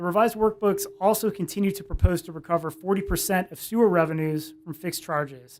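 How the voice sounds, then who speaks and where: Mumbling from a man at a high pitch, fairly quick and with fairly even intonation. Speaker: attorney. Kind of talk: cross-examination in legal hearing. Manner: mumbling a little.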